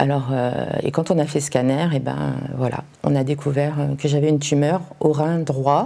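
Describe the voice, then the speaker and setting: Her intonation monotone and flat, a woman speaks in a very deep, low pitch. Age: 60s. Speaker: cancer patient. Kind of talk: testimony. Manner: hesitant, many fillers.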